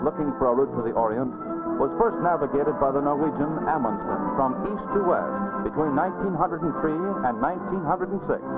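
Loud music plays in the background as a man talks at a fairly quick pace. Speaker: documentary narrator. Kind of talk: documentary narration. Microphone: old recording.

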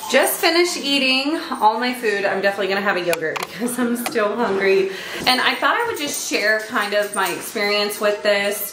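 A woman speaks with hardly any pauses while music plays in the background. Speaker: mom vlogger. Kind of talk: casual vlog chat. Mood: chatty, lightly laughing. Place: kitchen. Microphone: phone near.

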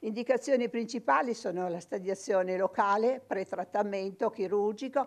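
A woman's voice with ordinary pitch variation, a moderate pace and hardly any pauses. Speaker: radiologist. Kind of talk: medical lecture. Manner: impassioned; halting, many repetitions. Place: studio.

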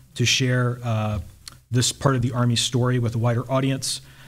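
A man with an American accent speaks fairly quickly at a medium pitch, somewhat breathy and monotone, his intonation flat. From US South. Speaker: army officer and historian. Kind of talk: lecture. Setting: stage with audience. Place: hall. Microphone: podium.

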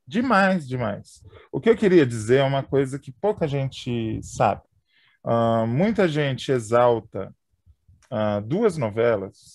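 At a very slow pace, a man with a medium-pitched voice speaks with lively intonation. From São Paulo, Brazil. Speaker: podcast host. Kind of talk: casual chat.

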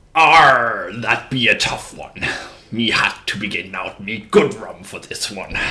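Using a put-on character voice, a man speaks raspily at a medium pitch and a fairly slow pace. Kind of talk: music quiz host in character.

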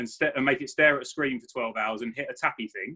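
A man's bright, sharp-toned voice against a quiet background. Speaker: chiropractor guest. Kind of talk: interview answer. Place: home room. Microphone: video call.

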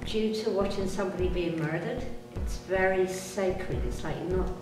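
Clear music sits in the background as the speaker goes at a moderate pace, with audible room echo. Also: woman. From Britain. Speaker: tour guide and motivational speaker. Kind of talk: interview answer. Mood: earnest, serious. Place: home room.

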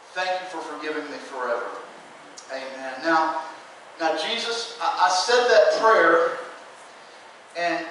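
With strong room echo and light background noise, a man speaks at a moderate pace in a high voice with ordinary pitch variation. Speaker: presenter. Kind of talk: sermon. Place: church. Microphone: camera far.

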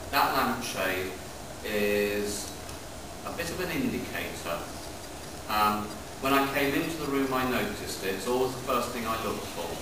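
Pausing long and often at a moderate pace, a man speaks amid audible room echo and noticeable background noise. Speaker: heritage site custodian guide. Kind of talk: guided tour explanation. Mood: calm, storytelling. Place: tunnel cave. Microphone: camera far.

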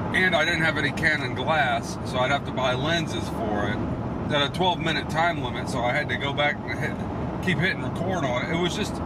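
Loud background noise runs under a man who keeps a fairly quick pace, his pitch varying in an ordinary way. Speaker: video hobbyist vlogger. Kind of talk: casual vlog chat. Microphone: phone near.

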